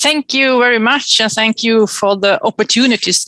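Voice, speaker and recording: A woman's fairly high voice at a moderate pace, dry and close with no echo. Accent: Swedish. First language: Swedish. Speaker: mayor. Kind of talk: conference presentation. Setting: webinar.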